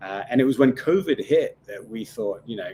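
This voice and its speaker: A man speaks with a Scottish accent. He keeps a moderate pace. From Scotland. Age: 30s. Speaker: tequila brand founder. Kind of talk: interview. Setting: live stream. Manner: halting.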